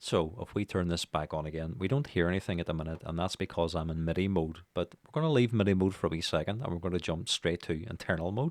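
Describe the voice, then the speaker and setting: This man's voice is very deep and low, racing at a very fast pace with hardly any pauses and ordinary pitch variation. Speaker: music production teacher. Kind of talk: tutorial. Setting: home studio, speaking into microphone. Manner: casual, many fillers.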